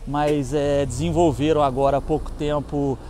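Over light background noise, a man speaks at a fairly high pitch and fairly slow pace, with fairly even intonation and a dry sound with no echo. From Brazil. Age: 50s. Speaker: motorcycle YouTuber and off-road rider; motorcycle YouTuber. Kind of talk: casual product review vlog. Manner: casual, slangy. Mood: relaxed, opinionated. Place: street. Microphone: phone near.

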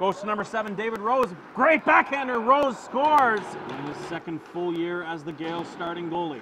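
A man's raised, projected voice, high in pitch, with very wide pitch swings and big swings in loudness, amid noticeable background noise. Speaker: play-by-play commentator. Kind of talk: live sports commentary (hockey play-by-play). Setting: hockey arena broadcast. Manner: fast, animated play-by-play delivery that swells with excitement on goals.

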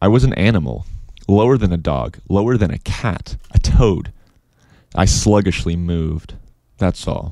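Long, frequent pauses break up a man's moderate pace, his very deep, low pitch and dark, mellow tone moving through very wide pitch swings. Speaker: audiobook narrator. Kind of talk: audiobook reading. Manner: casual, chatty intro and outro, then a steady literary read.

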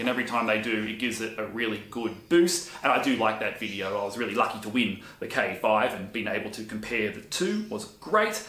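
A man with an Australian accent and ordinary pitch variation, in audible room echo. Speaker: woodworking YouTuber and handyman. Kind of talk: casual vlog monologue. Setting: home workshop on camera. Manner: chatty. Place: workshop.

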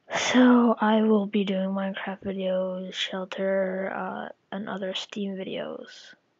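The speech moves at a very slow pace with hardly any pauses. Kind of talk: casual gameplay commentary.

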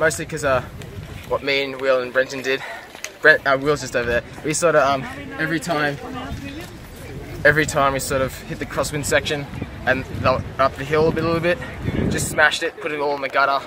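Against noticeable background noise, a man rattles along at a very fast pace in a monotone, flat intonation, with a dry sound and no echo. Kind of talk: interview answer. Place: street. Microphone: phone near.

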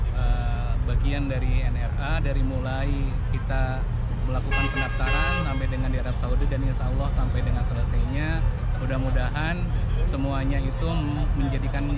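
Loud music plays in the background as a man talks at a fairly quick pace. The sound is dry, with no echo. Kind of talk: interview answer. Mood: calm, grateful. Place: open country. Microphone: phone near.

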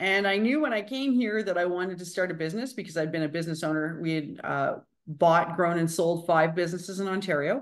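The speech races along at a very fast pace over a quiet background. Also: woman, fairly low pitch for a woman, ordinary pitch variation. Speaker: guest. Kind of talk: interview answer. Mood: warm, enthusiastic. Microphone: video call.

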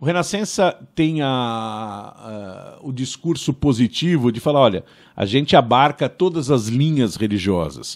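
Lively intonation carries this fairly slow delivery against a quiet background. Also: man. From Brazil, São Paulo. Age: 50s. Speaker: podcast host. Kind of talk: interview. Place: studio. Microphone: studio mic.

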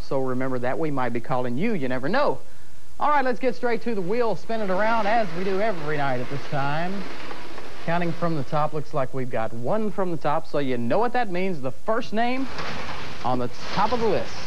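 A man's fairly high voice at a fairly quick pace, with very wide pitch swings and light background noise. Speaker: TV game show host. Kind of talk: local TV game show host patter. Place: studio.

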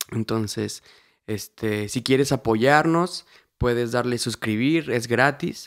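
A very slow-paced man on a very clean recording with a silent background and a dry, close sound with no echo. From Mexico, Querétaro. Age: 20s. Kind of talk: casual testimony chat.

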